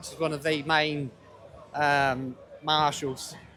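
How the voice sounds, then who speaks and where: With crowd noise in the background, a man with an English accent is shouting. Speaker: livestreamer at a street protest. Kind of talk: live walkaround commentary. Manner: loud, shouting over noise.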